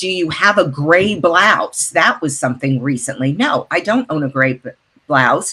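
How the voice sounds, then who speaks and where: Speaking at a moderate pace, a woman has a very deep, low pitch. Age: 60s. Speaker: actor, model and voice artist. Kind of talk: interview. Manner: casual, conversational with fillers.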